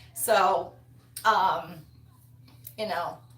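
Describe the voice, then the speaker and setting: A woman talks with an American accent at medium pitch. Audible room echo surrounds her voice. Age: 60s. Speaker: wreath-making YouTuber. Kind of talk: casual livestream chat. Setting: live stream. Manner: chatty.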